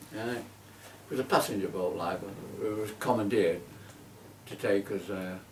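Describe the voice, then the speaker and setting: A fairly low-pitched man at a moderate pace with long, frequent pauses, amid noticeable background noise and audible room echo. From northern England, Manchester. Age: 80s+. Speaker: war veteran. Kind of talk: oral history interview. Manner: hesitant, many fillers; animated.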